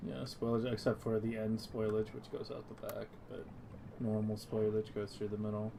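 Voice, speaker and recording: A soft-spoken voice talks at a moderate pace. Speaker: gaming streamer. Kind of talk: casual gaming chat. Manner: soft-spoken, quiet on stream.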